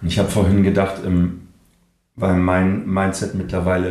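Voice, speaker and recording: A man with a very deep, low voice speaks at a moderate pace. Room echo is audible in the recording. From northern Germany, Kiel. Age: 40s. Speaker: voice actor and speech coach, breathwork therapist. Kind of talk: casual interview chat.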